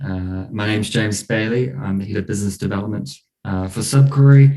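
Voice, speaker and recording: In a New Zealand accent, a man speaks at a fairly low pitch with a dark, mellow tone. His pace is moderate and his pitch variation ordinary. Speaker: head of business development at blockchain company. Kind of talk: online interview. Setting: online stream.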